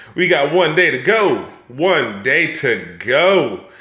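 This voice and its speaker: A man talks in an animated tone. Audible room echo surrounds his voice. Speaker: live stream host. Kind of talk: casual chat.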